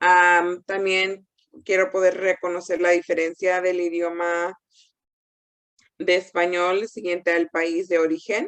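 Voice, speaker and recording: A woman speaks at a very slow pace. Her fairly low voice has monotone, flat intonation. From Mexican-American, US. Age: 30s. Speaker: counselor and doctoral candidate presenter. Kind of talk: conference presentation. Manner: halting, many fillers and restarts.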